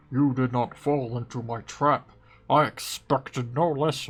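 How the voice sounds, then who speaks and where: Using a put-on character voice, a man speaks at a medium pitch with fairly even intonation and big swings in loudness. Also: moderate pace. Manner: menacing, gloating.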